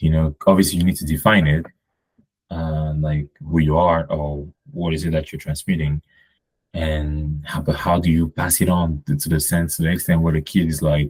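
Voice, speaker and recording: The delivery is monotone and flat at a moderate pace, with a slight non-native accent and a dry, close sound with no echo. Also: man, very deep, low pitch for a man. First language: French. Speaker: podcast guest. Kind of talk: casual conversation. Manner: hesitant, many fillers.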